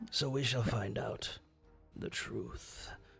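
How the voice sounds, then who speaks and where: A raspy man's put-on character voice, faint music in the background. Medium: actual play. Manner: weary, wary, deliberate.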